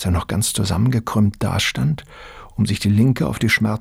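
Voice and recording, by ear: With pitch that varies in an ordinary way, the voice reads aloud naturally.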